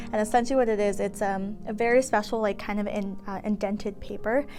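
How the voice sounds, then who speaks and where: Over music in the background, a woman with a Californian accent speaks at a fairly quick pace in a fairly high, monotone, flat pitch. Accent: Californian American English. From California Central Valley, Iu-Mien American family. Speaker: clinical research coordinator. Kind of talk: interview testimony. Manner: casual, with many fillers.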